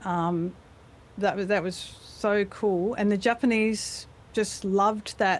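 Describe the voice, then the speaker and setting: The speaker has an Australian accent and a fairly slow pace. Pitch varies in an ordinary way. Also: woman. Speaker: voice actor. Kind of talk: interview answer. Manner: casual, chatty.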